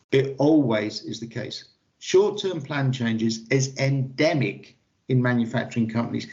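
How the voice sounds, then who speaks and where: At a fairly quick pace, a man speaks at a medium pitch with ordinary pitch variation and a somewhat breathy sound. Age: 60s. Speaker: lean manufacturing consultant. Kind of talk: interview. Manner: animated.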